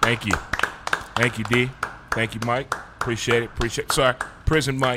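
Over noticeable background noise, a man with an American accent talks at a medium pitch and a fairly quick pace, broken by long, frequent pauses. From US Midwest (St. Louis, Missouri). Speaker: sports radio host and podcaster. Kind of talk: casual interview chat. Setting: studio. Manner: animated.

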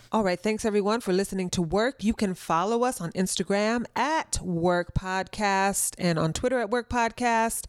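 In a very clean recording with a silent background, dry and close with no echo, a woman uses a normal speaking voice at a moderate pace with hardly any pauses and ordinary pitch variation. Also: medium pitch for a woman, very even loudness. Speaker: podcast co-host. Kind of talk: casual interview.

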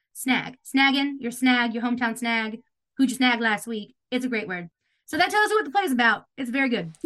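Speaking at a fairly quick pace, a woman uses a high pitch, lively intonation and a bright, sharp tone. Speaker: theater director and playwright. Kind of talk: casual interview chat. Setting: video call.

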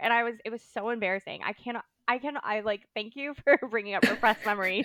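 With a Southern California accent, a woman talks at a fast pace with fairly high pitch. Her tone is fairly bright and her pitch variation ordinary. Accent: American, Valley Girl.

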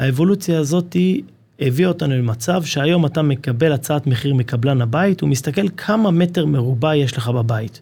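A man with a fairly high pitch speaks at a moderate pace, his tone dark and mellow and somewhat breathy. His intonation is lively, and his loudness stays very even. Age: 30s. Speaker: construction company marketing manager. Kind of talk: casual interview. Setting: studio.

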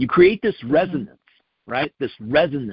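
A man at a fairly high pitch, with lively intonation and a moderate pace. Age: 60s. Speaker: podcast co-host. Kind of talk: casual chat. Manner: halting.

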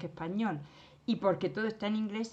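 At a moderate pace, the voice moves through ordinary pitch variation. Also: woman. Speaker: retired teacher. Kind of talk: casual chat. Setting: remote call. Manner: animated.

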